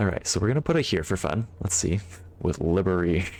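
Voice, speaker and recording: A man with an American accent talks at a fairly quick pace in a very deep, low pitch. His loudness stays very even, and his pitch variation is ordinary. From United States. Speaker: puzzle game streamer. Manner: casual, thinking aloud.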